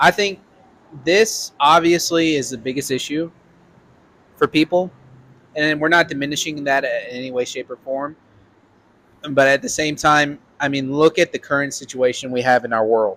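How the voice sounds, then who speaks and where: In a Southern accent, the speaker leaves long, frequent pauses. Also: man, fairly high pitch for a man, ordinary pitch variation, moderate pace, dry, close sound with no echo. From Arkansas, Little Rock. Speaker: podcast host. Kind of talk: political chat. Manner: casual.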